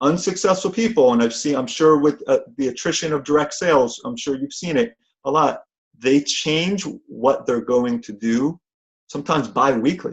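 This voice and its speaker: With a New Jersey accent, a man speaks in a fairly high pitch. His tone is animated and his intonation lively. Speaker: motivational speaker and event trainer. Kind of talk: motivational talk on conference call. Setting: phone conference call. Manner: fast.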